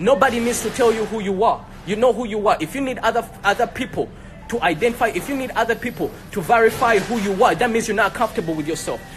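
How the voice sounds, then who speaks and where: Over noticeable background noise, a man with an American accent talks very fast in an animated tone, high in pitch, with ordinary pitch variation. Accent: African accent, can switch to American. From Africa. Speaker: entrepreneur. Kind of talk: heated debate.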